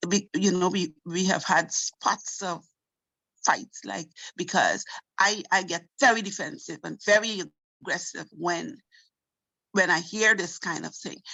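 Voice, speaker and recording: A woman speaks at a fairly slow pace with a medium pitch and ordinary pitch variation. Her loudness swings widely, and she leaves long, frequent pauses. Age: 60s. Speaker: participant. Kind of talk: testimony. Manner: halting.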